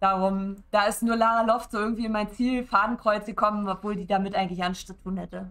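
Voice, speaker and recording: Fairly quick delivery with fairly even intonation. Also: woman. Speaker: streamer. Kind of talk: casual streaming talk. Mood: opinionated, mildly annoyed. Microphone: headset.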